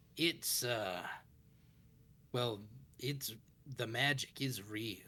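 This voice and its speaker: A man's put-on character voice at a medium pitch, very slow, with long, frequent pauses. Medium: actual play. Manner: folksy, rambling, ominous.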